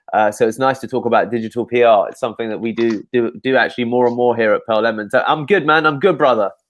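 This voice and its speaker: With a London accent, a man speaks at a very fast pace using ordinary pitch variation. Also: medium pitch for a man. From England, London. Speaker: SEO agency owner. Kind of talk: interview on a live show. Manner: repetitive, halting with fillers.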